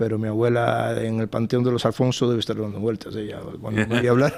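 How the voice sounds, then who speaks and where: Over noticeable background noise, a man speaks at a fairly quick pace. His intonation is monotone and flat. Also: medium pitch for a man. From Cuba. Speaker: think tank fellow and author. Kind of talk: TV panel interview. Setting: TV studio panel. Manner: halting, many repetitions.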